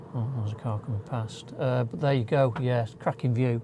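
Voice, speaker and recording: A man with a northern English accent talks at a fairly slow pace in a relaxed tone with fairly even intonation. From northern England. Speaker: travel vlogger. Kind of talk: casual vlog to camera. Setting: inside campervan on clifftop. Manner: chatty, relaxed.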